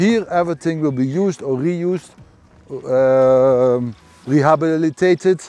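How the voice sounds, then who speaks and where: Someone with a Dutch accent speaks at a fairly slow pace with ordinary pitch variation while music plays in the background. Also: man, fairly high pitch for a man. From Netherlands. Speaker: garden owner, fish farm project owner. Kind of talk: casual chat. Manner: halting.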